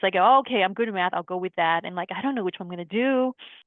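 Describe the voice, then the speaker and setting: At a medium pitch, a woman talks with a Lao accent. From Laos-born, raised San Diego, US. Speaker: podcast guest. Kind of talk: casual chat.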